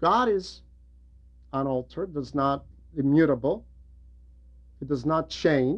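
The pace is slow, with long, frequent pauses. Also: man.

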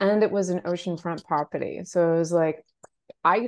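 A woman with a medium pitch and ordinary pitch variation speaks in a plain, everyday voice. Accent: American. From Portland, Maine, US. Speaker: personal stylist. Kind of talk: casual interview.

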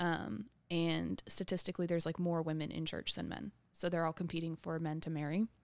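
In an American accent, a woman with an ordinary speaking voice talks at a fairly quick pace, fairly low in pitch and fairly even in intonation, on a very clean recording with a silent background. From Texas, New Braunfels. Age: 20s. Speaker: stand-up comedian. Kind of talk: casual chat. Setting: studio.

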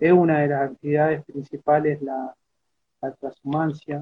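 A man speaks with a fairly high-pitched voice. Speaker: peasant organization member. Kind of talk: interview. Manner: halting.

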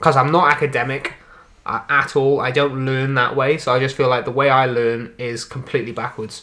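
In a Welsh accent, the speaker moves at a fairly quick pace. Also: man. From Wales. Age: young. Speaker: podcast host, amateur comedian and musician. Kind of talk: casual chat. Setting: on a sofa at home.

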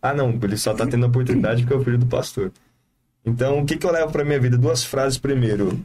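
A man with a dark, mellow, somewhat breathy voice speaks very fast at medium pitch. His loudness stays very even, and his pitch varies in an ordinary way. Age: 20s. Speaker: evangelist. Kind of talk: casual chat.

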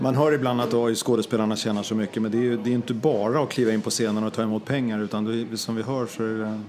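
Against noticeable background noise, a man with a medium pitch talks at a very fast pace with hardly any pauses and fairly even intonation. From not from Skåne. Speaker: podcast co-host. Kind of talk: casual interview chat.

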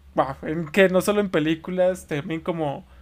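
At a moderate pace, an ordinary speaking voice keeps fairly even intonation on a very clean recording with a silent background. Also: man. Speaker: podcast host. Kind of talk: casual chat.

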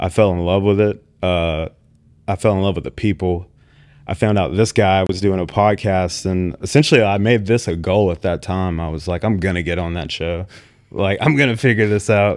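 This man speaks with an American accent at a moderate pace, his pitch very deep and low with ordinary variation. The recording is very clean with a silent background. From US Gulf Coast (Mississippi/Alabama). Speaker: restaurant owner and chef. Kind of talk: casual interview.

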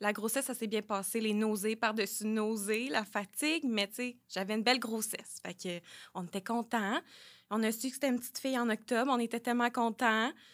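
Fairly quick speech with fairly even intonation in a very clean recording with a silent background. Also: woman, fairly high pitch for a woman. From Quebec, Sherbrooke. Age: 20s. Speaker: early childhood educator and mother. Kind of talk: personal testimony in casual interview. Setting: studio.

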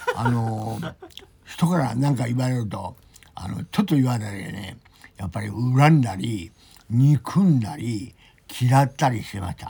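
Speaking at a fairly slow pace, a man uses a medium pitch and lively intonation, with big swings in loudness. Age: 60s. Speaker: rehab center member. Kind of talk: casual chat. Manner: halting.

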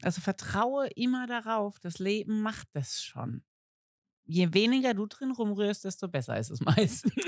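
A woman with a medium pitch and lively intonation speaks at a fairly slow pace on a very clean recording with a silent background. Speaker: podcast co-host. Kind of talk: casual chat. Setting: outdoors at a summer spot, children audible.

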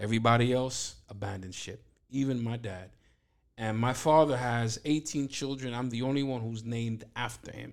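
In a New York accent, a man speaks at a moderate pace with fairly even intonation. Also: medium pitch for a man. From Brooklyn, New York (East New York). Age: 50s. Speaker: pastor. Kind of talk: testimony.

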